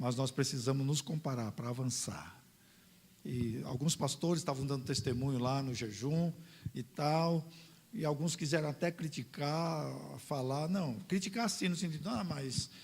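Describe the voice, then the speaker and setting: A somewhat breathy man at a moderate pace. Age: 60s. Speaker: pastor. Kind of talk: sermon. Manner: animated.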